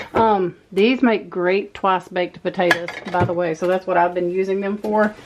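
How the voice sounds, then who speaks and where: Over noticeable background noise, a woman talks at a moderate pace in a medium pitch with monotone, flat intonation. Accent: Texas. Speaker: homemaker vlogger. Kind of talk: casual vlog narration. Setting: pantry at home.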